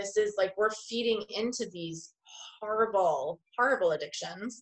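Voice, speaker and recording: With a New York accent, a woman speaks at a moderate pace in a fairly high voice with ordinary pitch variation. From Long Island, New York. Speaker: art therapist and business owner. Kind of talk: interview.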